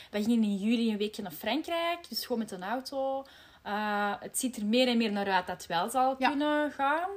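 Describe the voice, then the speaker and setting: A woman talks in an unremarkable speaking voice with a fairly high pitch. Her loudness swings widely. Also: moderate pace. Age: 30s. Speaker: podcast host, marketing employee. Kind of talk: casual chat.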